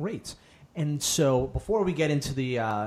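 Somewhat breathy, a man speaks at a fairly slow pace in a fairly high pitch. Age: 30s. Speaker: podcast host. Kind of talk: interview.

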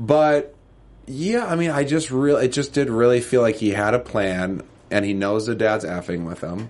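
With a normal speaking voice, a man at medium pitch talks at a moderate pace with lively intonation. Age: 30s. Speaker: TV after-show podcast co-host. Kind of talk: casual chat.

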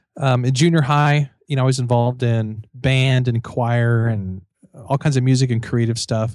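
A normal speaking voice from a man at medium pitch, moderate pace and fairly even intonation, with a dry, close sound, no echo, and a very clean, silent background. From Missouri, US Midwest. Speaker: author and professor. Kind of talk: casual interview chat.

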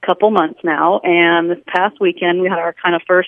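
A woman uses a plain, everyday voice, fairly low in pitch with ordinary pitch variation, at a moderate pace. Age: 40s. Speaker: caller. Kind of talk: personal question on call-in show. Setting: phone call.

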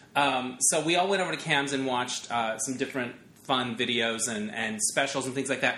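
Noticeable background noise sits behind a man at medium pitch. He talks at a fairly quick pace with ordinary pitch variation. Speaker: podcast host. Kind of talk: casual interview chat. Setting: in person at guest's home.

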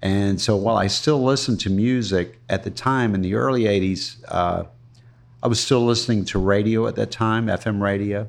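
A man's fairly low voice at a moderate pace, with fairly even intonation over a quiet background. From US South, Florida (Ruskin). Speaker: retired cigar shop owner. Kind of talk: interview, casual chat. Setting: coffee shop. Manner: halting, many fillers.

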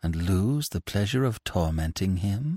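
Put-on character voice from a man, fairly low-pitched and moderately paced. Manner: gloating, cruel.

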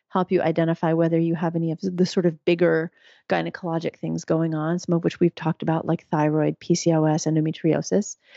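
A woman with an American accent speaks at a fairly quick pace and a fairly low pitch, in a dry, close sound with no echo and a quiet background. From US, New York City. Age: 50s. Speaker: physician and midwife. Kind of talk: interview.

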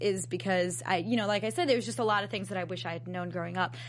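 A woman with an American accent swings her pitch very widely and slips into vocal fry. Room echo is audible around her voice. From Long Island, New York. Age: young. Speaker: singer and anti-bullying advocate. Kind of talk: casual interview.

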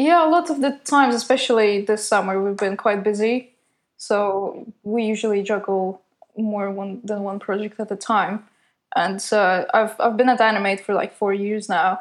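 Her pitch varies in an ordinary way as a woman talks at a moderate pace. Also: medium pitch for a woman, quiet background. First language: not English. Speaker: designer and animator. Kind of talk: casual interview.

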